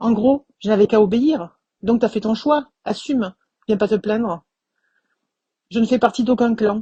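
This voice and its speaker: A woman speaks at a moderate pace with fairly high pitch and a somewhat breathy, dark, mellow tone. The sound is dry and close, with no echo. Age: 50s. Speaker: suspended physiotherapist. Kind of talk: testimony.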